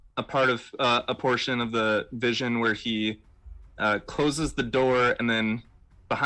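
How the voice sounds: A natural reading voice carries fairly even intonation.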